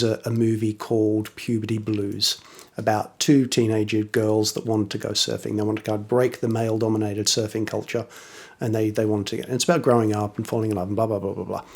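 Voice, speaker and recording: A man with an English accent talks at a fairly quick pace. His fairly low voice stays monotone and flat. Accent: weird English. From Australia, western suburbs of Sydney. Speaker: electronic instrument maker. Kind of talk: casual interview.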